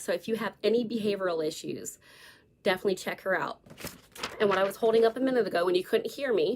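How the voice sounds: Using a put-on character voice that is hoarse and raspy, a woman speaks at a very fast pace and medium pitch, with long, frequent pauses.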